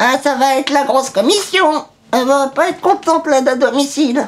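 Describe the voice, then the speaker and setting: This is a put-on character voice. It moves at a fairly quick pace. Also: man, extremely high pitch for a man. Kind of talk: comedy sketch.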